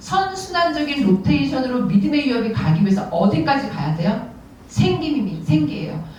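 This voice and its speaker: A woman's medium-pitched voice with very wide pitch swings, amid audible room echo and noticeable background noise. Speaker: parents' prayer group leader, guest speaker. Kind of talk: sermon. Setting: church service. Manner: fast.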